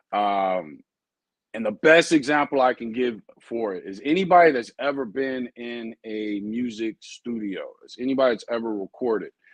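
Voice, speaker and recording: Recorded in a dry, close sound with no echo, a man with an ordinary speaking voice talks at a moderate pace and medium pitch, with ordinary pitch variation and big swings in loudness. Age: 40s. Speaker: dog breeder and trainer. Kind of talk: live stream talk. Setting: live stream. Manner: casual, rambling delivery with fillers.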